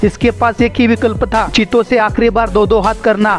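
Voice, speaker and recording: Over music in the background, a man talks at a high pitch in a monotone, flat intonation. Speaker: voice-over artist. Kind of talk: comedic wildlife video narration.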